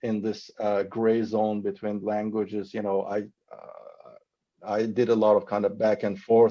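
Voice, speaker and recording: A man speaks with a Persian accent at a fairly slow pace. His tone is dark and mellow. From Iran. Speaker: novelist. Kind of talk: panel discussion. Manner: halting.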